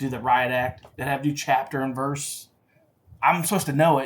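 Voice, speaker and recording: This is a man talking. His pitch is fairly high. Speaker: safety podcast host. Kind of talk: solo podcast talk. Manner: fast; casual, with fillers and self-corrections.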